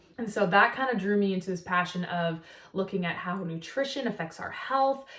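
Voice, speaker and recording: Over noticeable background noise, a woman speaks at a medium pitch with an American accent. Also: ordinary pitch variation, fairly quick pace. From US Pacific Northwest, Seattle. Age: 20s. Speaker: nutritional therapy practitioner, vlogger. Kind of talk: casual vlog talk to camera. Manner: casual, many filler words.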